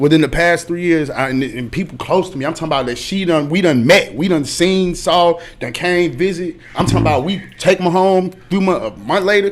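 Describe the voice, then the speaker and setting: A man with a high pitch and ordinary pitch variation speaks at a fairly quick pace with hardly any pauses, against noticeable background noise. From Chicago, South Side. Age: 30s. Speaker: music industry A&R. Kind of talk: casual interview. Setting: studio livestream.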